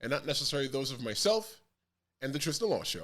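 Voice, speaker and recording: A man's fairly high, bright, sharp voice with an American accent, very wide pitch swings and a very fast pace. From Bronx, New York. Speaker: podcast host. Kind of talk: podcast intro.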